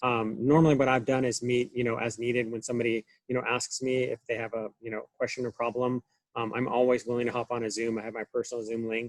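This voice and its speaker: A man's medium-pitched voice with an American accent, very fast and monotone with flat intonation, in a dry, close sound without echo. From Southern California. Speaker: online course instructor. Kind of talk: video call orientation meeting.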